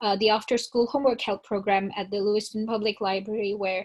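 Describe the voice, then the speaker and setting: Speaking at a fairly quick pace, a woman holds a fairly high pitch in a monotone, flat intonation. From northern India (Shimla). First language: not English (English is her third). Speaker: college student. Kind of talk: panel discussion.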